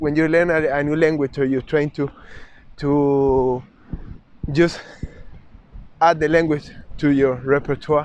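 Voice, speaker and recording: A man speaks with a Spanish accent. His pace is fairly slow. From South America (Chile/Uruguay). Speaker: travel vlogger. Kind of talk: vlog monologue. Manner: halting, many restarts.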